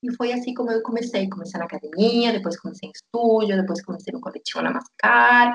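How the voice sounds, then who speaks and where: A woman speaks at a very fast pace with hardly any pauses, her fairly high voice showing ordinary pitch variation. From Argentina, Tierra del Fuego (Patagonia). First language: Spanish (speaking Portuguese). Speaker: yoga teacher. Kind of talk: interview, personal story.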